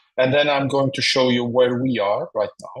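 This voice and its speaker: A man at a moderate pace, in a Madeiran accent. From Portugal, Madeira. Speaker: professor. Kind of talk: webinar presentation. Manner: halting, many fillers and repeats.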